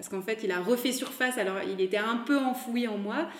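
A woman's voice comes through with noticeable background noise behind it. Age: 30s. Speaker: fashion brand founder. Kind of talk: interview. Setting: recorded at the guest's home.

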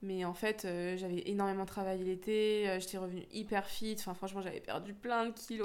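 A woman of medium pitch talks at a moderate pace in a monotone, flat intonation, with audible room echo around her. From France, Lyon area (Rhône-Alpes). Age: 20s. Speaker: professional squash player. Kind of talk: interview.

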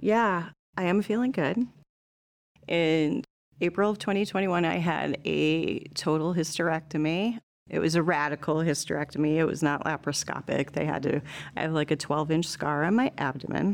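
A woman with an American accent speaks at a very deep, low pitch. Her loudness is very even and her pitch variation ordinary. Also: moderate pace. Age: 40s. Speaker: former student. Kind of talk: casual chat.

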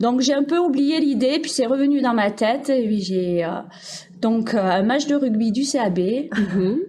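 A woman's fairly high, dark, mellow voice at a fairly slow pace, with lively intonation, very even loudness, and audible room echo. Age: 40s. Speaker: primary school teacher. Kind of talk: casual interview.

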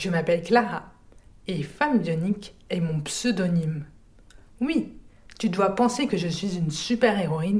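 A woman with a medium pitch speaks in a dark, mellow, somewhat breathy tone with lively intonation. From France, rural village. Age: 30s. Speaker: deaf accessibility advisor. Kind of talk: testimony. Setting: home recording.

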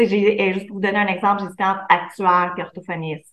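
Her tone is bright and sharp at a medium pitch. The woman speaks with a Quebec accent. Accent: Québécois French. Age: 30s. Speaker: entrepreneur, former speech therapist. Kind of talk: interview.

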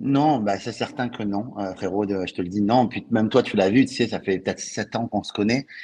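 A man with a southern French accent speaks at a fairly low pitch in a dark, mellow tone with fairly even intonation. His pace is moderate, with hardly any pauses, against a quiet background. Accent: French, Toulouse southern. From Toulouse, southern France. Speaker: author and sales coach. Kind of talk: casual interview chat. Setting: live stream.

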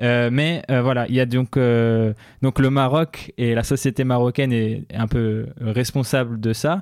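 Speaking at a very slow pace and a medium pitch, a man is heard on a very clean recording with a silent background. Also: fairly even intonation. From Morocco. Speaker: tech journalist. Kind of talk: casual interview.

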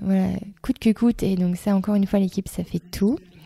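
This woman has a dark, mellow tone. There is some breathiness in her voice. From eastern France, Reims. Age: 30s. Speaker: school founder and director. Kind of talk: interview. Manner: hesitant, many fillers.

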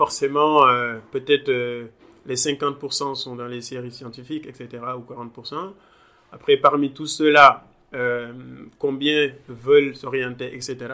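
A man's bright, sharp voice at a very slow pace, flat and monotone in intonation, with big swings in loudness. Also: medium pitch for a man. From Senegal, Thiès region. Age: young. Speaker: data engineer. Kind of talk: interview. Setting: in-person, Dakar. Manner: halting, many repetitions and fillers.

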